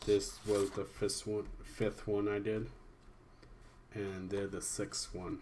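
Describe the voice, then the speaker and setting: A man speaking at a very slow pace, somewhat breathy, flat and monotone, with long, frequent pauses. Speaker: amateur artist reviewing own drawings. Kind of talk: casual video commentary. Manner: halting, many restarts and fillers.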